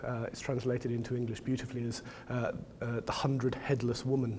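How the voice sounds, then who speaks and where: Talking very fast in a medium pitch, a man keeps a monotone, flat intonation against audible room echo. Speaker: professor. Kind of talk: lecture. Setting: gallery talk with audience. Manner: halting, many fillers.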